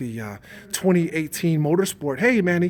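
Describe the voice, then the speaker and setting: A man talks at a moderate speed, and noticeable background noise can be heard. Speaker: motorcycle YouTuber. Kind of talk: live stream Q&A chat. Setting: at a motorcycle dealership, partly indoors. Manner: lowered voice indoors.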